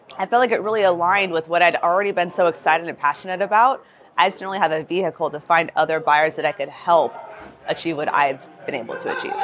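A woman talking very fast with ordinary pitch variation, over noticeable background noise. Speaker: real estate agent. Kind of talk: casual interview chat. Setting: live at conference.

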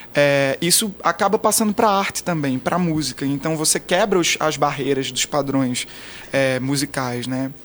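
At a moderate pace, a man with an unremarkable speaking voice and a fairly high pitch talks with ordinary pitch variation. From Brazil, interior of Pernambuco (Garanhuns). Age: 20s. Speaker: pop singer. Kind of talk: interview. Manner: casual.

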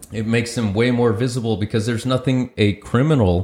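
The recording is very clean, and the background is silent. The speaker is a man with an American accent. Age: 40s. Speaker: podcast co-host. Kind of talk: casual chat. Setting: studio.

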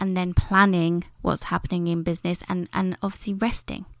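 A woman at medium pitch with a British accent, at a fairly quick pace, on a very clean recording with a silent background. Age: 30s. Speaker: beauty business coach. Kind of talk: solo podcast monologue. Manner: casual, conversational.

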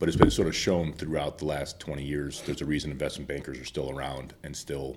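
Talking at a very fast pace, a man with an American accent has a very deep, low voice with vocal fry and fairly even intonation. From Chicago. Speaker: investment banker. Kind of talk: podcast interview.

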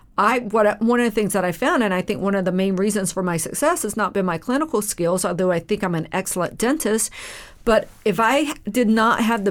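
Fairly quick pace from a woman at medium pitch, with a plain, everyday voice and ordinary pitch variation. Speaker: dentist and podcast co-host. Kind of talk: casual podcast conversation.

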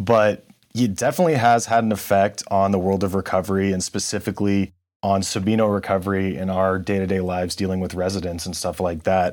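An unremarkable speaking voice with an American accent, fairly quick, in a very clean recording with a silent background. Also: man, fairly low pitch for a man, fairly even intonation. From California. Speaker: podcast host. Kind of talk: interview.

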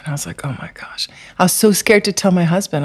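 A woman with a fairly low pitch, lively intonation and a fairly quick pace. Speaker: holistic therapist. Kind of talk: interview.

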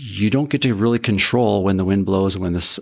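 At a fairly quick pace and a fairly low pitch, a man speaks with ordinary pitch variation on a very clean recording with a silent background. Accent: Upper Midwest. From North Dakota (Carrington). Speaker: electric utility industry expert. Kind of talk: interview.

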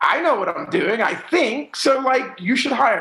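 This man speaks in a raised, projected voice. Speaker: music manager. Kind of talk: casual interview.

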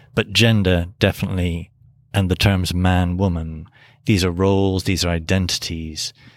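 A man with an English accent speaks in a very deep, low voice. His intonation is monotone and flat, and the recording is very clean with a silent background. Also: moderate pace. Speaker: priest and seminary professor. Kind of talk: academic interview discussion.

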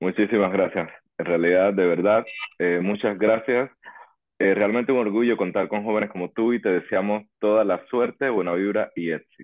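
With fairly even intonation, a man speaks at a moderate pace in a fairly low, unremarkable speaking voice. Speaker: podcast host. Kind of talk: interview.

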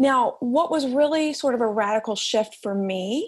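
A woman's fairly high voice with ordinary pitch variation and an American accent. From Alabama. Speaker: author and editor. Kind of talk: interview conversation.

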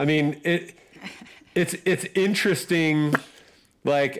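Here a man talks at a very slow pace. His pitch is fairly high, with ordinary variation. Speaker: podcast co-host. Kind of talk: casual family chat. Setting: video call.

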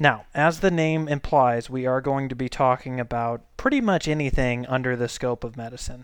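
Using a normal speaking voice, a man with an American accent and medium pitch talks at a moderate pace with fairly even intonation and hardly any pauses. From Saint Louis, Missouri. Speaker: podcast host and family physician. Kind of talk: casual monologue.

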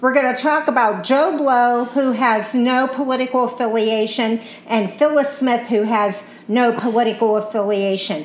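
A woman's high voice at a moderate pace, with ordinary pitch variation and very even loudness, over noticeable background noise. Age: 60s. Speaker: podcast co-host. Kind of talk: casual political chat. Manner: chatty, loses train of thought.

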